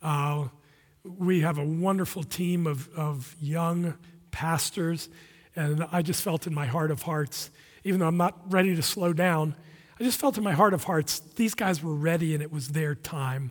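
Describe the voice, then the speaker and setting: A man's fairly high voice at a moderate pace, with ordinary pitch variation and a very clean recording over a silent background. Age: 60s. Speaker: visiting pastor. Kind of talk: sermon. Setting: church. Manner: halting, many fillers.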